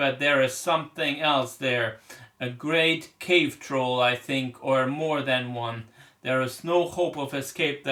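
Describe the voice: Ordinary pitch variation across plain reading aloud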